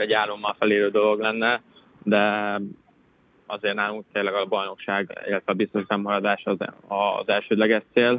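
In a fairly low pitch, a man talks at a fairly slow pace. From Hungary, Szombathely. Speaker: professional footballer. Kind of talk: casual interview.

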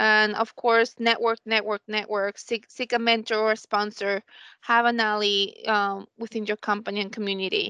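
A woman speaks at a moderate pace with a fairly high pitch and a bright, sharp tone, the sound dry and close with no echo against a quiet background. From Colombia. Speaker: business analyst. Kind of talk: panel discussion.

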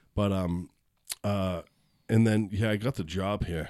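With an American accent, a man speaks in an unremarkable speaking voice at a fairly low pitch. His pace is moderate, and the recording is very clean with a silent background. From Boston. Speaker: comedian. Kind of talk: casual chat.

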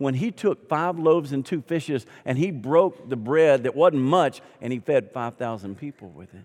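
With a Southern US accent, this man talks at a moderate pace, his fairly high pitch carried by lively intonation. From US South. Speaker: pastor. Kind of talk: sermon. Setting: church. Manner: animated.

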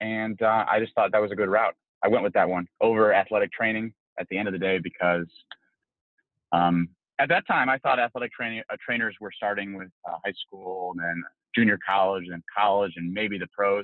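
With an American accent, a man has an unremarkable speaking voice, a fairly low pitch, fairly even intonation and a moderate pace. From Cleveland, Ohio. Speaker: physical therapist. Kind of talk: casual interview.

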